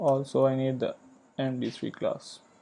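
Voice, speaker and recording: With a dark, mellow tone, a man speaks at a medium pitch and a fairly slow pace. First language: not English. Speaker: programming tutor. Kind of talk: tutorial. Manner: hesitant, many fillers.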